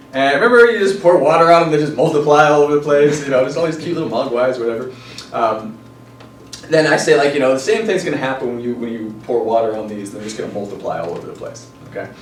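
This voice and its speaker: Over noticeable background noise, a man talks very fast with lively intonation and a fairly high pitch. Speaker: NLP and hypnosis trainer. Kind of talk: live training seminar explanation. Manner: casual, hesitant with fillers.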